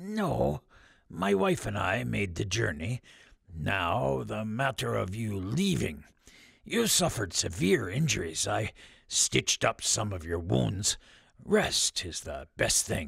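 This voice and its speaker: On a very clean recording with a silent background, a man does a put-on character voice that is raspy and very deep, speaking at a fairly slow pace. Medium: read story. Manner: calm, gentle, hesitant fillers.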